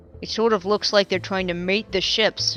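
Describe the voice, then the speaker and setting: A gruff, put-on character voice in a monotone, flat delivery at a moderate pace, dry and close with no echo, with music in the background. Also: woman, medium pitch for a woman. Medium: read story.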